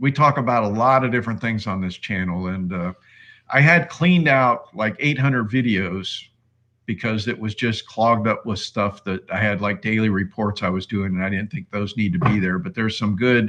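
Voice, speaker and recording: Against a quiet background, a man with a plain, everyday voice talks at a moderate pace in a fairly low pitch with ordinary pitch variation. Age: 60s. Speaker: investing YouTuber. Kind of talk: live stream chat. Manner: casual, rambling with fillers.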